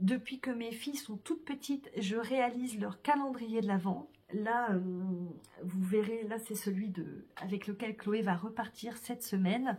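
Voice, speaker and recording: A woman with a fairly high, somewhat breathy voice talks fairly slowly, her pitch varying in an ordinary way. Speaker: vlogger. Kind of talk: casual vlog talk to camera. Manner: hesitant, many fillers.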